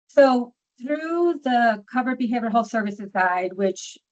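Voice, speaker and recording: A woman speaks with a New York accent. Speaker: social worker and documentation trainer. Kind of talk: training webinar. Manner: fast.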